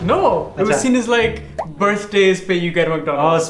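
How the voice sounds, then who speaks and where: Over noticeable background noise, a man with a high pitch speaks at a moderate pace with ordinary pitch variation and very even loudness. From lived in England for over 20 years, now in Pakistan. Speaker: vlog co-host. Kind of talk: casual chat, storytelling to co-host and viewers. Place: kitchen.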